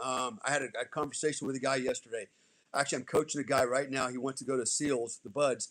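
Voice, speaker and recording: A man talking at a very fast pace on a very clean recording with a silent background. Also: medium pitch for a man. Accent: American. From Germany and US military family. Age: 60s. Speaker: former special forces soldier, life coach. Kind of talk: podcast interview, casual chat. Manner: animated.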